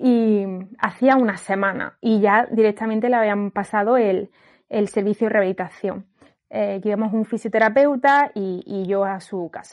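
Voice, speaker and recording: With an unremarkable speaking voice, a woman talks at a fairly high pitch, with fairly even intonation and a moderate pace, against a quiet background. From Andalusia, Granada. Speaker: occupational therapist. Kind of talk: casual chat.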